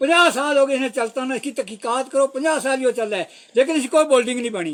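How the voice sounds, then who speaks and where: A man's voice sits at an extremely high pitch, with ordinary pitch variation. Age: 80s+. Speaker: village elder. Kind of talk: public appeal to officials. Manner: halting.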